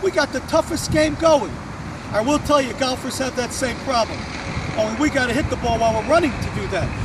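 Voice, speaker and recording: Over noticeable background noise, a man talks at a fairly quick pace in an extremely high pitch with lively intonation. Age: 50s. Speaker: tennis coach. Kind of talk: tutorial. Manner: casual, conversational.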